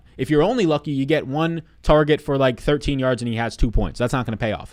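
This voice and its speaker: A man's very fast, animated speech in a New York accent over a quiet background. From New York City (Staten Island). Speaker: sports betting and fantasy sports analyst; fantasy sports analyst. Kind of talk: live stream chat. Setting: live stream. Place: home room. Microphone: studio mic.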